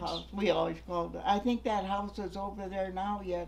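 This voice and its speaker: Speaking at a fairly slow pace, a woman talks with an Upper Midwest accent. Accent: Upper Midwest American. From North Manitou Island, Michigan. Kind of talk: oral history interview answer.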